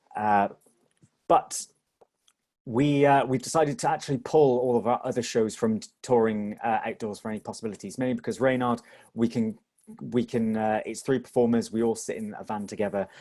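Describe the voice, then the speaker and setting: A man's medium-pitched voice with a dark, mellow tone, a fairly quick pace and ordinary pitch variation. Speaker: theatre company performer. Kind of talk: webinar presentation. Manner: fast.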